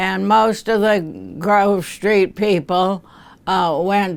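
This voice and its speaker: A woman with an American accent speaks at a medium pitch in a monotone, flat intonation. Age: 80s+. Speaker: retired school principal. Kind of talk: interview reminiscence. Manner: halting.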